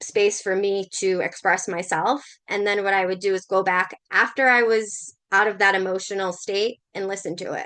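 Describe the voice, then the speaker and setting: A woman with a Massachusetts accent, medium pitch and fairly even intonation, at a fairly slow pace against a quiet background. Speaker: spiritual coach and shamanic practitioner. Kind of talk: livestream talk to viewers. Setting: Facebook live stream. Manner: casual, conversational with fillers.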